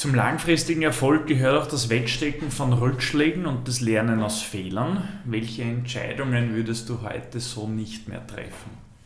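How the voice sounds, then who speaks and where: A man at medium pitch with ordinary pitch variation, moderate pace and hardly any pauses, over noticeable background noise. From Vienna. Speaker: podcast host. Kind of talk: casual interview.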